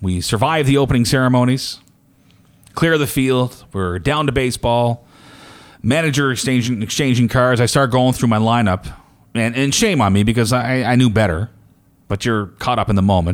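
A man talks in an ordinary speaking voice at a medium pitch and a moderate pace. His pitch variation is ordinary and his loudness very even. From New Brunswick, Canada. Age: 40s. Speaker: podcast host. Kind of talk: casual chat.

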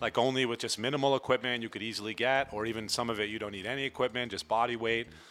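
A man with an American accent speaks very fast at medium pitch, with hardly any pauses and monotone, flat intonation. His tone is bright and sharp, in a very clean recording with a silent background. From Vermont, US. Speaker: personal fitness trainer. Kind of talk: casual interview chat.

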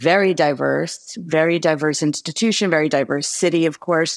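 Speaking with an American accent and vocal fry, a woman uses a very deep, low pitch with ordinary pitch variation at a moderate pace. The recording is very clean, with a silent background and a dry, close sound with no echo. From New York and New Jersey. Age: 50s. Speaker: psychology professor. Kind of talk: interview conversation.

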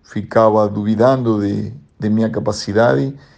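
Here a man has a dark, mellow tone. His pace is fairly slow. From Argentina, Buenos Aires. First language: Spanish (speaking Portuguese). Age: 50s. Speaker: volleyball coach. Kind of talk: interview. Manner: halting.

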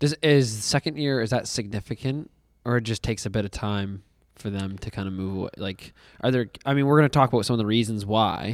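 On a very clean recording with a silent background and a dry, close sound with no echo, a man speaks very fast at medium pitch with ordinary pitch variation. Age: 20s. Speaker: podcast co-host. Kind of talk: casual chat. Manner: animated.

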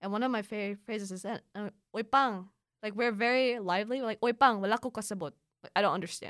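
In a very clean recording with a silent background, a woman with a Filipino accent talks at a very fast pace. Her pitch is fairly high, and the sound is dry and close with no echo. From Philippines. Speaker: student and polyglot. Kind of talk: casual interview chat. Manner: animated, laughs often.

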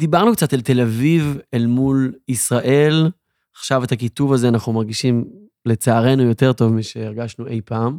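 Over a silent background in a very clean recording, a man speaks at a medium pitch. His tone is dark and mellow. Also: ordinary pitch variation, moderate pace. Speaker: podcast co-host. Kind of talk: interview; casual chat. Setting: at guest's home.

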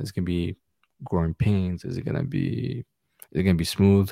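Soft-spoken and fairly quick, a man talks with a very deep, low pitch and a dark, mellow tone in a dry, close sound with no echo. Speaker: soccer fan and podcaster. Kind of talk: casual chat. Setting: video call. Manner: soft-spoken, quiet.

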